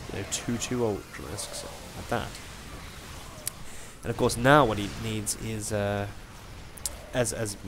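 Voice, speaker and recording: Fairly even intonation at a moderate pace, with noticeable noise in the background. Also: man. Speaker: amateur esports commentator. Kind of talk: game commentary. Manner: hesitant, many filler words.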